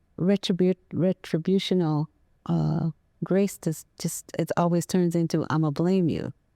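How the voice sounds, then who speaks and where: Soft-spoken and fairly slow, a woman with an American accent has a dark, mellow tone and fairly even intonation on a very clean recording with a silent background. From US Midwest, Waterloo, Iowa. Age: 80s+. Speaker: veteran and counselor. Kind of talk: interview. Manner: halting.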